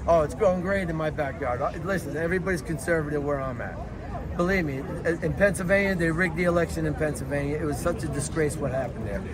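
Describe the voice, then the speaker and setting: A man with a New York accent talks at a very fast pace, his pitch fairly high and its variation ordinary. Noticeable background noise and audible room echo fill the recording. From New York City (Lower East Side, Manhattan). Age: 60s. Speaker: Trump supporter at a protest. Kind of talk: street interview. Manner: repetitive, filler-heavy.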